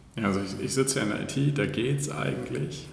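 A man speaks at a moderate pace, with noticeable background noise and audible room echo. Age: 20s. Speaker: city administration IT employee. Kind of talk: casual interview.

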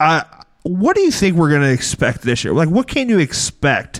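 The recording of this man is very clean, with a silent background. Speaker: comedy podcast host. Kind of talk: comedic fantasy football banter. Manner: halting, filler-heavy.

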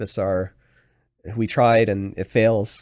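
A normal speaking voice in a Canadian accent, fairly even intonation, on a very clean recording with a silent background. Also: man. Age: 30s. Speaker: real estate investor. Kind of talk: casual chat.

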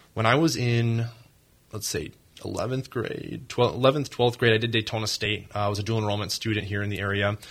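A man with an American accent speaks at a fairly quick pace in an unremarkable speaking voice. His intonation is fairly even, and the recording is very clean with a silent background. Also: medium pitch for a man. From Minnesota. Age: 20s. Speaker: entrepreneur, company founder. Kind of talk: interview. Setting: studio.

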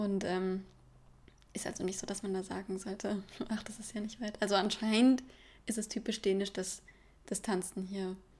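A woman's somewhat breathy, medium-pitched voice, moderate pace, long, frequent pauses, and monotone, flat intonation. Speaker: au pair. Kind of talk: casual chat. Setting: studio.

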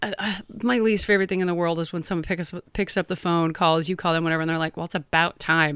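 Very fast and fairly even in intonation, a woman's fairly low voice sounds dry and close with no echo in a very clean recording with a silent background. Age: 40s. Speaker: podcast co-host. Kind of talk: casual chat.

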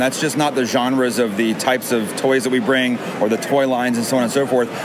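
A man talks at a very fast pace in a medium pitch. Noticeable background noise sits behind him. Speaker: toy vendor. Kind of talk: casual interview chat. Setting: toy show, noisy convention.

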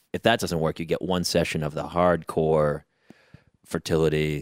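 With an American accent, a man speaks in a very deep, low voice and a monotone, flat intonation, the sound dry and close with no echo. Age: 40s. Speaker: stand-up comedian and actor. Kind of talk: casual chat.

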